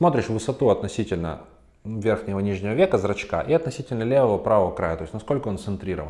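Against a quiet background, a man races along at a very fast pace, his fairly low pitch carrying lively intonation. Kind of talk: educational talk to camera. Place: office. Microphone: lapel.

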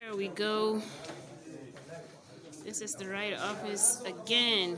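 Noticeable background noise sits behind speech at a very slow pace. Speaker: student vlogger. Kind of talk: casual vlog chat. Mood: excited, slightly flustered. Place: hall. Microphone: phone near.

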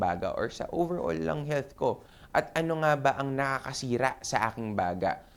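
Pitched in a medium range, a man's voice makes very wide pitch swings. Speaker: doctor and health show host. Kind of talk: health talk monologue. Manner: casual, filler-heavy.

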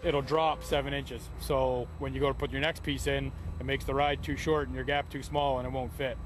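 Music plays in the background as the voice moves at a fairly quick pace, with a dry sound and no echo. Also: man. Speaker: on-site host. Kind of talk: documentary explanation.

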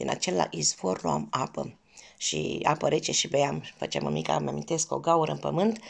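A woman's warm tone at a fairly slow pace, against a quiet background. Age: 50s. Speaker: cooking vlogger. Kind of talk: personal storytelling. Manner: warm, affectionate. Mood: warm, nostalgic. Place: home room. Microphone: phone near.

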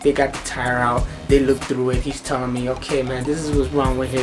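With clear music playing behind him, a man speaks in a fairly even intonation. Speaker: vlogger. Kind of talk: casual vlog chat, storytelling rant. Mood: annoyed, exasperated. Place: home room. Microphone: phone near.

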